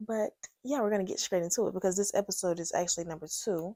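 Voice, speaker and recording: Dark and mellow in tone, a woman speaks at a medium pitch and very fast pace, captured on a very clean recording with a silent background and a dry, close sound with no echo. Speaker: podcast host. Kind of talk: casual storytime monologue. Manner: getting louder as she goes.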